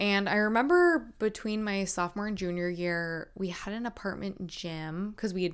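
A woman with an American accent speaks at a fairly quick pace in an unremarkable speaking voice, her intonation fairly even, on a very clean recording with a silent background. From North Carolina. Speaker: podcast host, fitness competitor. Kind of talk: solo podcast storytelling. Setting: video recording at laptop.

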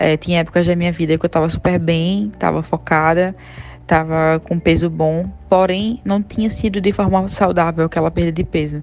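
Music plays behind a woman speaking at a moderate pace. Her pitch is fairly low, with fairly even intonation. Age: 30s. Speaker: systems analyst sharing health story. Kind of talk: testimony.

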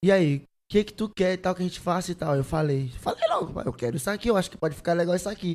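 A very fast-talking man with a high pitch, a dark, mellow tone and ordinary pitch variation. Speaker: singer. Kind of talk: casual chat.

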